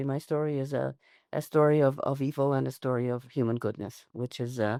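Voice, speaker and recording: A woman's very deep, low voice with a dark, mellow tone and fairly even intonation, in a very clean recording with a silent background and a dry, close sound with no echo. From Canada. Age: 80s+. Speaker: Holocaust survivor and educator. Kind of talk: interview. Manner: halting.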